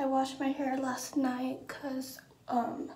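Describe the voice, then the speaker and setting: A woman's high voice at a very slow pace, over noticeable background noise. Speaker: vlogger. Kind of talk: casual vlog chat. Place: bathroom. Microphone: phone near.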